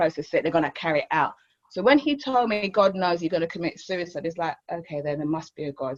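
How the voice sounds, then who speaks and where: A woman with a fairly low pitch talks at a very fast pace with lively intonation. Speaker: recovery centre co-founder. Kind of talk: testimony.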